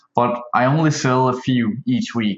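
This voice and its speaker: A man speaks at a medium pitch with a Danish accent. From Denmark. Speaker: online seller asking a question. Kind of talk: recorded voicemail question. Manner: hesitant.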